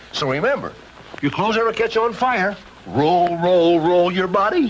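A man's warm, high-pitched voice at a moderate pace, with ordinary pitch variation and noticeable background noise. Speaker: actor. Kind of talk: public service announcement. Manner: friendly, warm.

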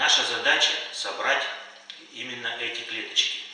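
A man's voice rings with strong room echo. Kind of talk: lecture.

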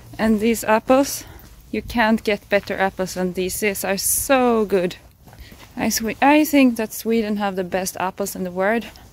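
A woman speaks at a moderate pace with ordinary pitch variation, the sound dry with no echo. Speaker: raw vegan vlogger. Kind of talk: casual vlog chat. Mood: cheerful, enthusiastic. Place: open country. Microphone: phone near.

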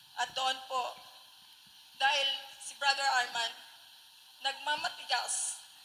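Fairly slow and high-pitched, a woman speaks in a raised, projected voice. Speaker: church member giving testimony. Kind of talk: testimony. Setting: gathering with radio broadcast.

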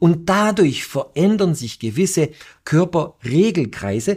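Against a quiet background, a man speaks with lively intonation. His voice has vocal fry. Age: middle-aged. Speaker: entrepreneur and inventor; guest. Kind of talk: interview. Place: studio. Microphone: lapel.

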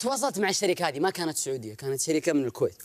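A fairly high male voice at a very fast pace, with very wide pitch swings over a quiet background. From Saudi Arabia. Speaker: entrepreneur; storyteller on TV show. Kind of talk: personal storytelling. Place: studio. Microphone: lapel.

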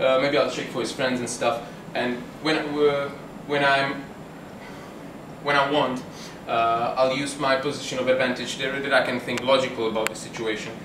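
Over noticeable background noise, a man talks at a moderate pace in a flat monotone. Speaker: self-defence instructor. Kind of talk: tutorial. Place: bar. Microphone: camera far.

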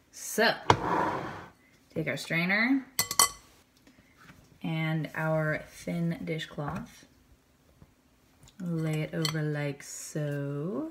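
Noticeable background noise sits behind this recording. A woman speaks in a very deep, low voice. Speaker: home cooking host. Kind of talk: tutorial. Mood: light, joking. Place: kitchen. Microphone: camera far.

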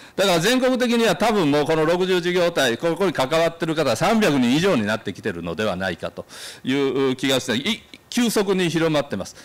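Fairly high-pitched man at a fairly quick pace with very wide pitch swings. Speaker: association representative giving a talk. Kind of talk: symposium talk with slides. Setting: symposium hall with audience. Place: hall. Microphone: podium.

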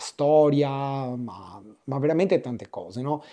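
In a very clean recording with a silent background, a man speaks at a very slow pace in a dark, mellow tone with fairly high pitch. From Venice, Italy. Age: 40s. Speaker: tattoo artist. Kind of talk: interview.

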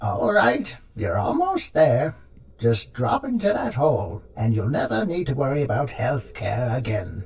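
A man puts on a character voice at a medium pitch. He speaks at a moderate pace. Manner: gleeful, gossipy, mocking.

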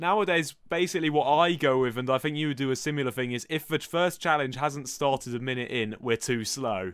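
Against a quiet background, a man with a fairly high voice talks at a fairly quick pace with hardly any pauses and ordinary pitch variation, the sound dry with no echo. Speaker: gaming youtuber. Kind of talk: casual reaction video. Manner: self-deprecating, jokey. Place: home room. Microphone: headset.

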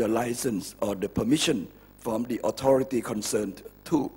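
Moderately paced speech from a man, somewhat breathy, with a dark, mellow tone. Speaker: guest. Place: hall. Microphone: podium.

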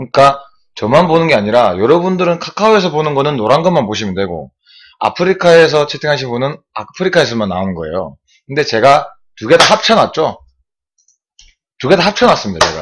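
Over light background noise, a man speaks at a fairly quick pace with very wide swings in pitch. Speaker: swimming live streamer. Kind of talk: casual live-stream chat explaining the chat overlay. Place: home room. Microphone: webcam.

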